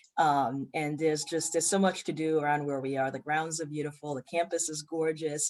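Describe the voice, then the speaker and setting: Using a very deep, low pitch and monotone, flat intonation, a woman speaks at a fairly quick pace with hardly any pauses. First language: French. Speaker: community college president. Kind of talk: interview. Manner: frequent fillers (um).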